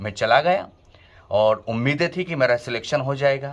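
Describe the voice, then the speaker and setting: A man speaks in an ordinary speaking voice, pitched fairly high for a man. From Malwa region, Madhya Pradesh, India. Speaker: vlogger and former radio host. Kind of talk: personal storytelling vlog.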